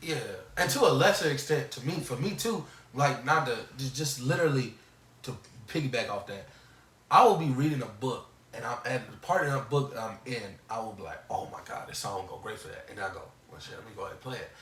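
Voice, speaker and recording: Man's fairly high voice at a very fast pace, with lively intonation, big swings in loudness, long and frequent pauses, and audible room echo. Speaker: podcast co-host. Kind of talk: casual chat.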